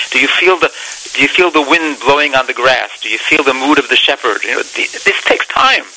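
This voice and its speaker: A man speaks with fairly even intonation. Noticeable background noise runs under his voice. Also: fairly high pitch for a man, fairly quick pace. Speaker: singer. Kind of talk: interview.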